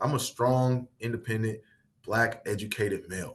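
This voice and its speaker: This man talks at a fairly quick pace with a Midwestern accent. His voice is somewhat breathy. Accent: Midwest twang. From US Midwest. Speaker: workshop facilitator. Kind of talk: workshop presentation. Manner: repetitive, self-correcting.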